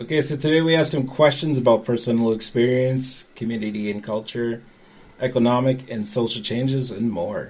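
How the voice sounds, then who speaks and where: This is a normal speaking voice at a moderate pace. Its intonation is fairly even. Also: man, medium pitch for a man. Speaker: community radio host. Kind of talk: podcast interview questions.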